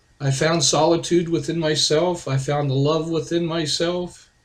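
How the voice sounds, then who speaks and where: Somewhat breathy, a man speaks at a fairly slow pace and fairly high pitch with monotone, flat intonation. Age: 60s. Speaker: author and video blogger. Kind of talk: personal testimony monologue.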